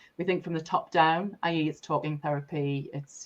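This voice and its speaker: Speaking at a fairly quick pace, a woman uses a very deep, low pitch and monotone, flat intonation. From Sunderland, North East England. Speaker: energy leadership coach and breathwork facilitator. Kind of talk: podcast interview answer.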